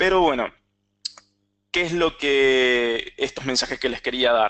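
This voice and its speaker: A man talks very slowly in a medium-pitched voice. His tone is bright and sharp, with ordinary pitch variation. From Argentina, San Juan. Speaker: cloud technology architect, webinar presenter. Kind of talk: webinar presentation with live demo. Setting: online webinar.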